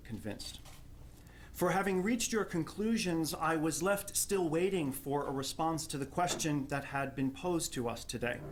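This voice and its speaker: Lively intonation marks a man speaking with a New Jersey accent. His pitch is fairly high and his pace moderate. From New Jersey, Jersey City. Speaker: theology professor. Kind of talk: prepared academic response at a panel.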